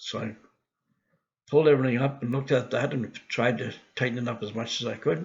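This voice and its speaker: A man's medium-pitched voice carries vocal fry. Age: 70s. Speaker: video blogger tracking weight loss. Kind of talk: casual vlog monologue. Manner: halting, with fillers and restarts.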